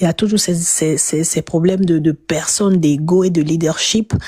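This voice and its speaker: A woman speaks with a fairly low pitch, a somewhat breathy quality and a dark, mellow tone. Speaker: political commentator. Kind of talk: panel discussion. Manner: halting.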